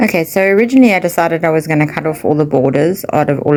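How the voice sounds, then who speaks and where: The speech has lively intonation, with noticeable background noise. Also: woman. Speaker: craft journaling vlogger. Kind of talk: casual craft tutorial. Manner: quiet, low-key.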